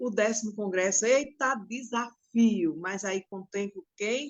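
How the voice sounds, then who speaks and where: A woman's normal speaking voice, medium in pitch, with ordinary pitch variation and a fairly slow pace. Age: 60s. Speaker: domestic workers' union leader. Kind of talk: interview testimony.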